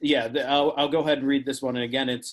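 This is a man with an American accent. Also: quiet background. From Pennsylvania. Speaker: poet. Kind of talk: casual introduction to a poem. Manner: hesitant, filler-heavy. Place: home room. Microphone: video call.

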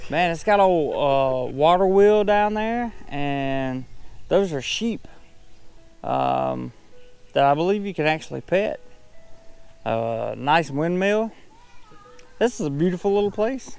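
A man's high-pitched voice at a very slow pace, lively intonation, long and frequent pauses, a dry sound with no echo, and music in the background. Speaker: travel vlogger. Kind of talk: casual vlog chat. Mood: upbeat, admiring. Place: garden. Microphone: phone near.

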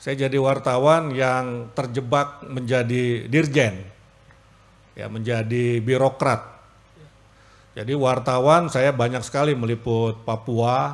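A man talks at a very slow pace. His medium pitch follows a fairly even intonation. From Jakarta. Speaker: government official giving speech. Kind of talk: formal speech. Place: hall. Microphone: podium.

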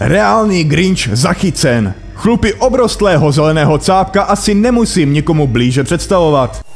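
Over background music, a man speaks at a moderate pace in a fairly high voice, his loudness very even while his pitch swings very widely. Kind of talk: humorous narration of a video compilation. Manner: sarcastic, joking.

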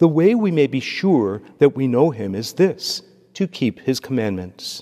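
Over a quiet background, a man speaks at a fairly slow pace. His tone is dark and mellow, with very wide pitch swings. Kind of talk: liturgy and homily. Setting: church. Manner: formal. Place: church. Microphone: podium.

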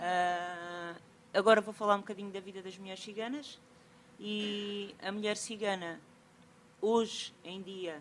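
Over light background noise, a woman speaks fairly slowly with monotone, flat intonation. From Portugal. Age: 40s. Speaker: sociocultural mediator. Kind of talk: conference talk. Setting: stage with audience. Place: hall.

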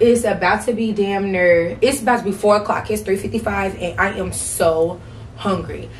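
Against light background noise, a woman talks at a moderate pace, her intonation fairly even. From St. Louis, Missouri. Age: 20s. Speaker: vlogger. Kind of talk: casual talk to camera. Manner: chatty, casual. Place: home room. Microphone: camera far.

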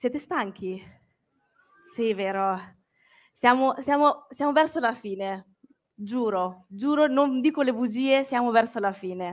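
A woman speaks at a very slow pace, leaving long, frequent pauses. Her high pitch rises and falls with lively intonation. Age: 20s. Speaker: book content creator. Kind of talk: public talk. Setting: stage with audience.

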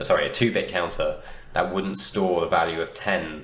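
Moderate pace over noticeable background noise. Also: man. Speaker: university teaching assistant. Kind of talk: lecture tutorial. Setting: home recording, poor sound.

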